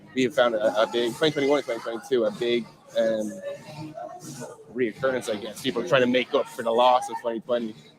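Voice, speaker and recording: Despite long, frequent pauses, a man talks at a very fast pace, with noticeable background noise behind him. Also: medium pitch for a man, ordinary pitch variation. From Ireland, Dublin. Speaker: bartending business owner. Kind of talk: casual interview chat. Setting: outdoor live street event.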